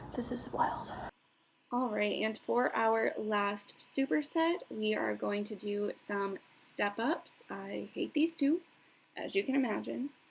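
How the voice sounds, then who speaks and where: A somewhat breathy woman's voice at a fairly high pitch and a very slow pace. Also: lively intonation. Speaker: powerlifter and coach. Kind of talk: vlog voiceover. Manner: casual, conversational; stuttering on words at times.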